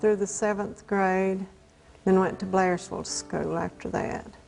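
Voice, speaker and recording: This is a woman speaking. She has an Appalachian accent. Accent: Southern Appalachian American. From US South, north Georgia mountains. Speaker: elderly woman telling her life story. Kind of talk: oral history interview. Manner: halting, with self-corrections.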